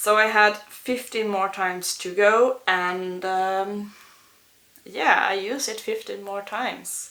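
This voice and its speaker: Audible room echo surrounds a woman with a non-native accent who speaks at a very slow pace. Her bright, sharp tone sits at medium pitch with fairly even intonation, but her loudness swings widely. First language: not English. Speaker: beauty vlogger and English teacher. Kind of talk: casual product review vlog. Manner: halting, many fillers.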